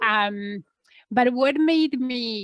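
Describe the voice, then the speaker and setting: A woman with a Polish accent speaks at a fairly high pitch, the sound dry and close with no echo. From Poland. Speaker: entrepreneur. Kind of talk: interview.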